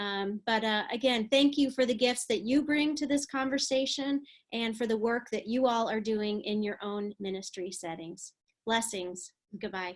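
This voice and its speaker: At a moderate pace, a woman with an American accent speaks at a fairly high pitch with ordinary pitch variation. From Texas, San Antonio. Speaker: preaching professor and pastor. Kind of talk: webinar lecture. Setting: recorded online webinar. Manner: many fillers and hesitations.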